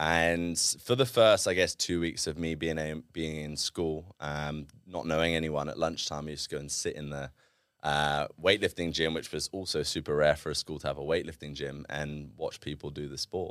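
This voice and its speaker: A man's very deep, low voice in a southern English accent, with fairly even intonation and a moderate pace. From southern England (Reading, then Devon). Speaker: former Olympic weightlifter and entrepreneur. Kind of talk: casual interview. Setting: studio.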